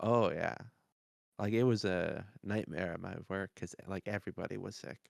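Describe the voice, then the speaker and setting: A man talks at a fairly low pitch with vocal fry and ordinary pitch variation. His pace is fairly slow, and the sound is dry and close with no echo. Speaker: podcast co-host. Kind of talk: casual chat.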